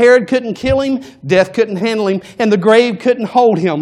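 At a moderate pace, a man speaks in a high pitch with an animated tone and ordinary pitch variation. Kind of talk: sermon. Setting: church. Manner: rhythmic, building cadence with repeated 'He's the...' lines, rising preacher's fervor; animated, rhetorical questions to congregation, urgent and exhorting.

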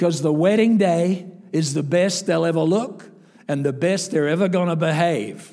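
With ordinary pitch variation, the man speaks high in his register. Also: moderate pace. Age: 60s. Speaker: evangelist. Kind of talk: sermon. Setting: church.

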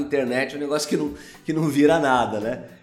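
Talking at a very fast pace with fairly even intonation, a man is heard over noticeable background noise and audible room echo. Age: 40s. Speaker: company founder and CEO. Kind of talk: casual interview. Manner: hesitant, filler-heavy.

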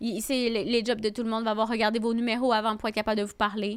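The delivery is very fast and flat, in a monotone. The recording is very clean, with a silent background. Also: woman. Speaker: comedian. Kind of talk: casual chat.

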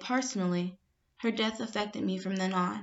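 A woman in an American accent uses a normal speaking voice, medium pitch, fairly even intonation, and a moderate pace. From Chicago, US Midwest. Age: 20s. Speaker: university student. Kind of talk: reading aloud.

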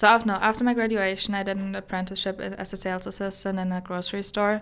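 A woman speaks at a medium pitch with a German accent. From Germany. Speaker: guest sharing her personal story. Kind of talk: testimony, personal story in interview. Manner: halting, searching for English words.

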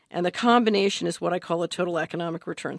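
A plain, everyday voice with an American accent and ordinary pitch variation, dry and close with no echo, over a quiet background. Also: woman. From Philadelphia, US. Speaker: investment adviser and former government official. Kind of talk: interview.

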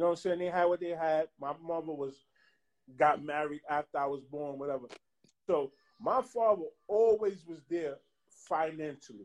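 At a moderate pace, a man with a fairly high pitch and ordinary pitch variation talks, leaving long, frequent pauses. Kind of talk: casual chat.

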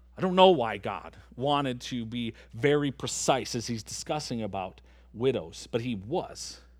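A man with an American accent speaks at a fairly slow pace with lively intonation, and the room echo is audible. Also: medium pitch for a man. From Michigan. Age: 30s. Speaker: pastor. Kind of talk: sermon. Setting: church.

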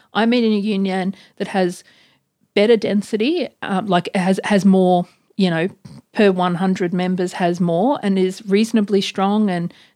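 A woman with an Australian accent speaks at a moderate pace in a medium pitch, her intonation fairly even. The recording is very clean with a silent background and a dry, close sound with no echo. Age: 40s. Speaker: academic author. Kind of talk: casual interview.

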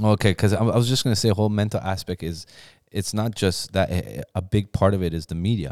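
In a very clean recording with a silent background and a dry, close sound with no echo, a man with a Canadian accent speaks at a fairly quick pace with ordinary pitch variation. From Ontario, Canada (raised; Iranian-born). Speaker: podcast co-host. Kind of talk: casual chat.

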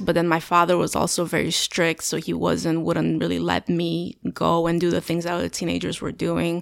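Speech with a Romanian accent moves at a moderate pace. The recording is very clean, with a silent background. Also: woman. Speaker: firefighter. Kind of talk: podcast interview. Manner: halting.

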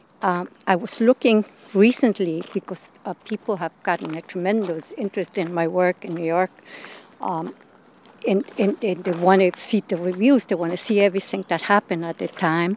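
Recorded with a dry, close sound and no echo, a woman with a Spanish accent talks at a moderate pace with a medium pitch and ordinary pitch variation. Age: 70s. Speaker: performance artist. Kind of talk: interview.

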